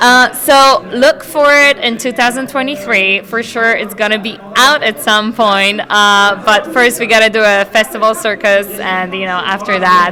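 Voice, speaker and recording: A woman speaks at a fairly slow pace with a fairly high pitch and hardly any pauses. Her pitch varies in an ordinary way, and background noise is noticeable. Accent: slight Polish. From Poland. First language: Polish. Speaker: actress. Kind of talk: red carpet interview.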